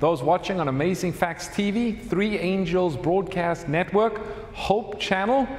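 Against audible room echo, a man with a high voice speaks at a fairly slow pace. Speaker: host announcing program details. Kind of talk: live Bible study introduction. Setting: stage with audience. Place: church. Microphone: lapel.

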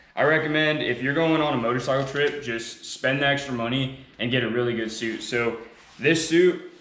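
Music plays behind a man whose intonation is fairly even, and the room echo is audible. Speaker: motorcycle vlogger. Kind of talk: tutorial. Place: garage.

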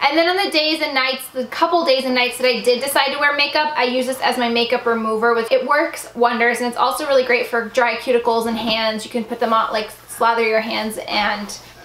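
A woman's high-pitched voice at a fairly quick pace, with fairly even intonation, hardly any pauses and audible room echo. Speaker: beauty vlogger. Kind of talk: casual vlog chat. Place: home room.

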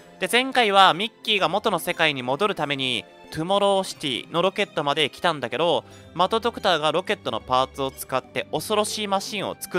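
Over music in the background, a man with a fairly high pitch talks at a fairly quick pace with very wide pitch swings, the sound dry and close with no echo. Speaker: VTuber game streamer. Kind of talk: casual game commentary.

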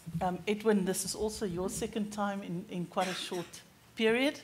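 A woman speaks in a somewhat breathy voice. Light background noise sits behind her. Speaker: event host welcoming guests. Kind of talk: formal welcome address. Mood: warm, lightly humorous. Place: hall. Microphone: podium.

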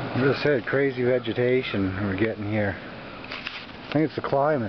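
Loud background noise surrounds speech delivered at a very slow pace. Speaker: vlogger. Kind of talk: casual vlog chat. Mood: relaxed, amused. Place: open country. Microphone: phone near.

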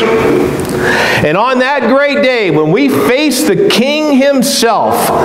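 The speech unfolds at a very slow pace. Music plays in the background, and room echo is audible. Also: man. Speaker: preacher. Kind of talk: sermon. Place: church.

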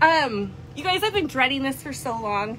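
A woman uses a raised, projected voice at a moderate pace over light background noise. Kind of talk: live shopping stream chat. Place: shop. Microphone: phone near.

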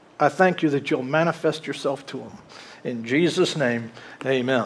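Lively intonation carries a man's speech along at a moderate pace. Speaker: pastor preaching. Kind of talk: sermon. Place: church.

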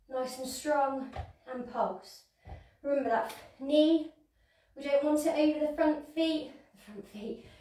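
Speaking high with a dark, mellow tone, a woman pauses long and often, her loudness swinging widely and her pitch varying normally amid audible room echo. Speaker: fitness instructor. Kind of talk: exercise class instruction. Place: home room. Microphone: camera far.

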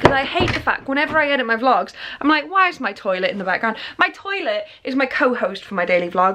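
A woman talks at a fairly quick pace with very wide pitch swings. Behind her, the background stays quiet. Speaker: vlogger. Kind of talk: casual vlog chat. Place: home room. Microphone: phone near.

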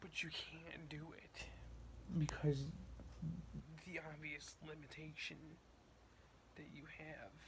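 A man speaks at a very slow pace with big swings in loudness. Noticeable background noise is present. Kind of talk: casual vlog chat. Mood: bored, mildly agitated. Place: home room. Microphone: phone near.

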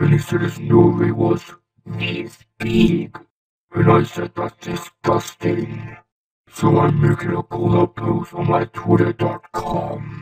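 Over a clear echo, a man in a cartoonish character voice talks at a fairly slow pace and medium pitch. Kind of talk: fan dub of an animated robot character.

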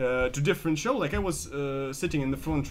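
A man with a Russian accent talks at a very fast pace, with ordinary pitch variation. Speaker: comedian. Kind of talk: casual chat. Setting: anti cafe.

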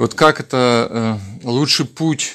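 This man has a medium pitch. His pitch variation is ordinary. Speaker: devotee asking questions.

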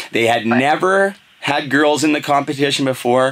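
With noticeable background noise behind him, a man talks at a moderate pace and medium pitch with lively intonation. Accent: Canadian. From western Canada. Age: 30s. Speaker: podcast host. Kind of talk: casual chat. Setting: studio.

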